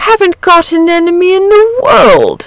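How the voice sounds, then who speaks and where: Putting on a character voice, a woman talks at a moderate pace in an extremely high pitch. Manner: cheerful.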